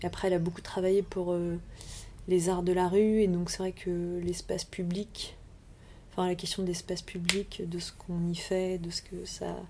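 A woman at a moderate pace with a fairly low pitch. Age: 30s. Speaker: urban planner and landscape designer. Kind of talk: interview. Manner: halting, many repetitions and fillers.

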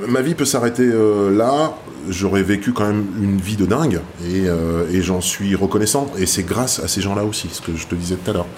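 A man speaks at a moderate pace in a fairly low pitch with ordinary pitch variation. Room echo is audible, along with noticeable background noise. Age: 50s. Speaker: tattoo artist. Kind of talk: interview. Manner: hesitant.

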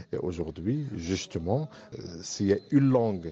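A man with an Arabic accent and a dark, mellow tone speaks at a very slow pace. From Morocco. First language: Arabic (speaking French). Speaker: university professor and engineering firm director. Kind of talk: interview testimony.

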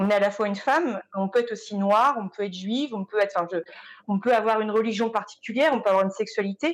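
A very fast-talking woman, fairly high in pitch, her pitch varying in an ordinary way. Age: 30s. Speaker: visual and sound artist. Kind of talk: panel discussion.

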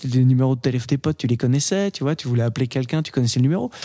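The man's voice carries a dark, mellow tone. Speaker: podcast host. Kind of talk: casual chat about films, debate.

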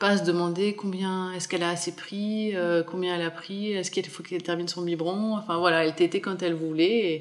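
A woman's monotone, flat delivery comes through noticeable background noise. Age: 30s. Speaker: mother sharing breastfeeding story, small business owner. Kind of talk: testimony.

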